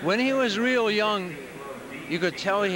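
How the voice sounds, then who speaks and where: The pitch moves in an ordinary way. The sound is dry with no echo, though background noise is noticeable. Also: man. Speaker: proud father of player. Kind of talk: casual interview; interview answer. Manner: halting, emotional. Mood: proud, relaxed. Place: hall. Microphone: handheld.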